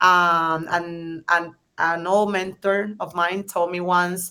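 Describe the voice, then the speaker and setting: A woman with a strong Spanish accent speaks in a fairly low voice with a bright, sharp tone. Her intonation is flat and monotone. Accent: thick Spanish. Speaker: startup founder. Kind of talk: panel discussion. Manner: hesitant, many fillers.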